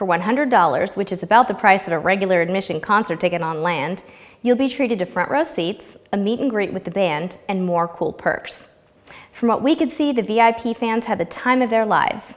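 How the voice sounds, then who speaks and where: Using lively intonation, a woman speaks at a moderate pace. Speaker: travel vlog host. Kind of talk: scripted travel review. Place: studio. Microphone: lapel.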